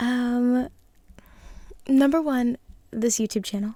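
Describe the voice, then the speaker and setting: Soft-spoken and whispering, a woman talks. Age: 20s. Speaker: ASMR creator. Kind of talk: ASMR Q&A talking to camera. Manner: soft-spoken, whispery.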